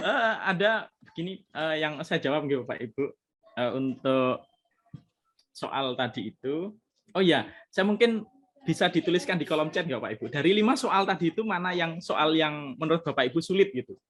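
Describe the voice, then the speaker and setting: A man with a high pitch speaks at a moderate pace. His intonation is lively. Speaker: lecturer presenting at a teacher workshop. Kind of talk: workshop Q&A discussion.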